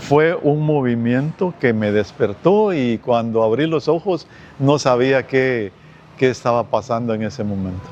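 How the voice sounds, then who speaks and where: A man's medium-pitched voice with lively intonation at a fairly slow pace, music in the background. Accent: Guatemalan. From Guatemala, Guastatoya. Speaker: earthquake survivor. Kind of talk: testimony.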